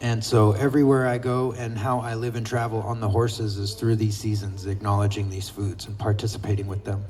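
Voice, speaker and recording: A soft-spoken man talks at a fairly quick pace with hardly any pauses, his fairly low voice monotone and flat. Room echo is audible. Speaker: horseback traveler and traditional foods forager. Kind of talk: speech to an outdoor gathering.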